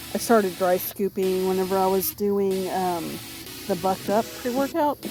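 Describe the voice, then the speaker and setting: Over music in the background, a woman speaks at a moderate pace and a medium pitch, with ordinary pitch variation. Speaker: weight loss vlogger. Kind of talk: casual vlog monologue. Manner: halting, many fillers.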